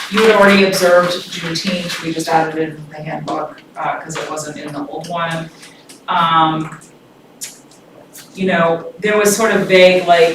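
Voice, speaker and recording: A woman speaks at a fairly low pitch with fairly even intonation, big swings in loudness and long, frequent pauses. Noticeable background noise and audible room echo surround her. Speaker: consultant presenting employee handbook. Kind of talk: public meeting presentation. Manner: fast.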